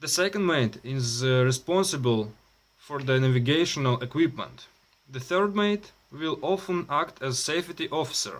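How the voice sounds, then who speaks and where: Over a silent background in a very clean recording, a man with a Russian accent speaks at a moderate pace. His fairly high voice has lively intonation. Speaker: maritime student. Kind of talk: reading aloud. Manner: halting.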